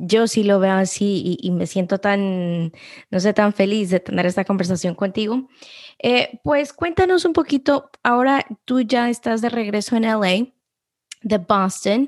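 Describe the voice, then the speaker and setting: A woman talks at a fairly slow pace in an ordinary speaking voice. Her medium pitch shows ordinary variation, and her loudness stays very even. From Guatemala-born, raised in US. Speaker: podcast host. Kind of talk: interview.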